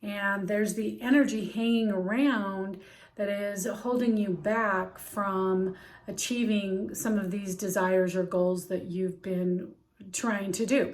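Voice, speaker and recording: Audible room echo surrounds a woman talking at a very slow pace. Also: medium pitch for a woman, fairly even intonation. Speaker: healing practitioner and life coach. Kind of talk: instructional talk on journaling. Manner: casual with frequent fillers.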